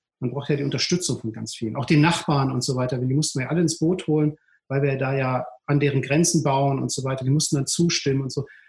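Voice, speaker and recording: The speech is very fast and somewhat breathy, with fairly even intonation. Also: man, fairly high pitch for a man. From Ruhr area, Duisburg-Rheinhausen. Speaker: entrepreneur, city beach operator. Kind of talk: casual interview. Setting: video call. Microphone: poor sound quality.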